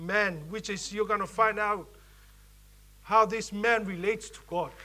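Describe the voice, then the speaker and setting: With a Samoan accent, a man speaks in a raised, projected voice with a bright, sharp tone and flat, monotone intonation, and the room echo is audible. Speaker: preacher and youth leader. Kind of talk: sermon. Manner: halting.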